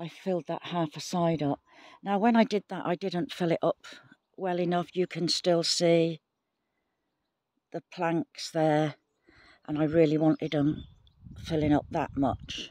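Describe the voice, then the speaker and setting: Speech comes at a fairly slow pace with long, frequent pauses, the sound dry with no echo and the background quiet. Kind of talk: casual vlog chat. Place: garden. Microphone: phone near.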